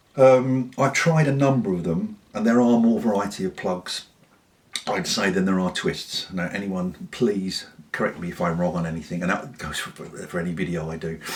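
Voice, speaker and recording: Lively intonation in a southern English accent at a moderate pace, over noticeable background noise. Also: man, fairly low pitch for a man. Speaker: pipe smoker reviewer. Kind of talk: casual talk to camera.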